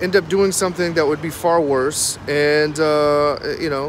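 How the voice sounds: A man talks at a fairly high pitch against clear background noise.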